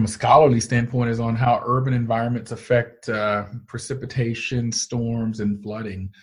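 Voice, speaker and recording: A somewhat breathy man's voice with an American accent at a moderate pace. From US South, Georgia (Canton). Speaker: meteorology professor. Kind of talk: interview.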